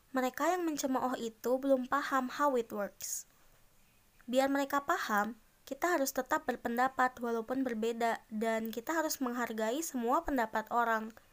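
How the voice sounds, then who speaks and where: In a very clean recording with a silent background, a woman talks at a moderate pace in a high pitch with ordinary pitch variation. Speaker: solo podcaster. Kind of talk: casual monologue.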